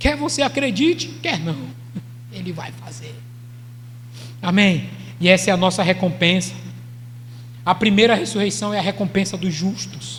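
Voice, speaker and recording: A man talks at a moderate pace with long, frequent pauses and big swings in loudness. The room echo is audible, and there is noticeable background noise. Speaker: pastor. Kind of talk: sermon.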